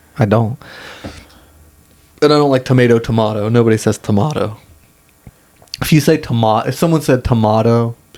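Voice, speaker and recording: Amid noticeable background noise, a man of medium pitch talks at a fairly quick pace with long, frequent pauses, very even loudness and ordinary pitch variation. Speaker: podcast co-host. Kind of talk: casual chat.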